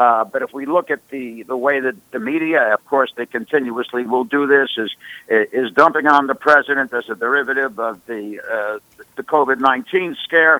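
This is a normal speaking voice at a moderate pace, with ordinary pitch variation. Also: man, medium pitch for a man. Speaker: professor and author. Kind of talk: political discussion.

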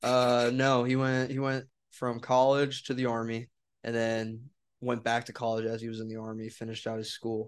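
This man talks at a medium pitch in a flat, monotone way. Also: moderate pace. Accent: American. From Wisconsin. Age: 20s. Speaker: podcast host. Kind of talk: casual chat.

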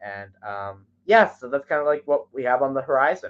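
A man with an ordinary speaking voice talks at a fairly quick pace, medium in pitch and with ordinary pitch variation. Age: young. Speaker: songwriter and radio promoter. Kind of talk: casual interview. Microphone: connection cutting in and out.

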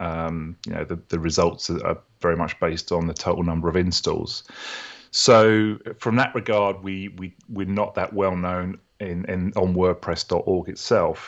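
With a British accent, a man with a very deep, low pitch speaks at a moderate pace with fairly even intonation. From UK. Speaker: software founder and developer. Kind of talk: interview.

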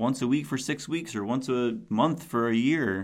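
His intonation is lively. The man has an unremarkable speaking voice pitched at a medium level. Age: 40s. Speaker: podcast host and youth mentor. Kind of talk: solo podcast monologue. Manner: casual, with frequent fillers.

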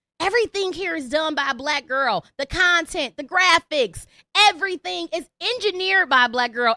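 The voice is raised and projected, its tone bright, sharp and animated, with very wide pitch swings. It moves at a fairly slow pace, and the sound is dry and close with no echo. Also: woman. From Detroit, Michigan. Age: 30s. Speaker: comedian and podcast host. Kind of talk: live call-in podcast monologue.

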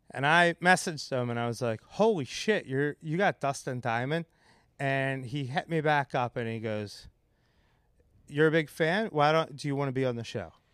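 An unremarkable speaking voice from a man with an American accent, fairly high in pitch, at a moderate pace with lively intonation, in a dry, close sound with no echo and a very clean recording over a silent background. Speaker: comedian; bar owner. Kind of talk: casual chat. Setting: podcast recorded live with audience. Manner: joking, profane.

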